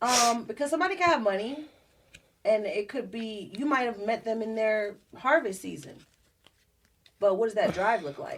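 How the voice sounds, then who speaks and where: A woman's fairly high voice in a New Jersey accent, moderate in pace with lively intonation and long, frequent pauses. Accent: New Jersey (US Northeast). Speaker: singer and entrepreneur, podcast guest. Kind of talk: casual chat.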